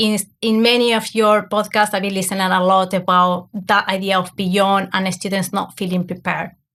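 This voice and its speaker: The woman's voice sits at a medium pitch with monotone, flat intonation. She speaks with hardly any pauses on a very clean recording with a silent background. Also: moderate pace. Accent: Argentine. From Argentina. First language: Spanish. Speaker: academic coach. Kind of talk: podcast interview.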